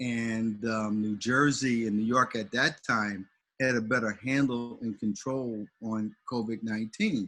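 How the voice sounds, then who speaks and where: Over a quiet background, a man talks in a flat monotone at a medium pitch. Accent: American. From St. Louis, US Midwest. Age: 60s. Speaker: pastor. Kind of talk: casual chat. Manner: halting.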